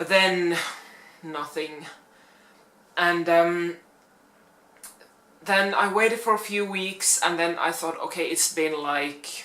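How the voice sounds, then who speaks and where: In a Finnish accent, a woman speaks at a very slow pace with long, frequent pauses and audible room echo. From Finland. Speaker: plus-size fashion YouTuber. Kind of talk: casual vlog talk. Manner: hesitant, many fillers.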